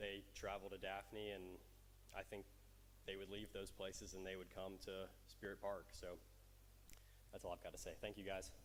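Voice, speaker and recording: A man with an American accent, long, frequent pauses and audible room echo. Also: moderate pace. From US South, Alabama Gulf Coast. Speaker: college athlete speaking at public comment. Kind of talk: public comment at council meeting. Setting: council chamber. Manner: halting, many fillers.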